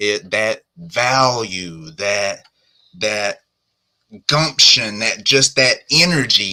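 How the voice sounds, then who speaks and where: An American-accented man at medium pitch speaks very slowly with lively intonation and long, frequent pauses. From US South. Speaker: entrepreneur. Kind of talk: live podcast interview. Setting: live stream.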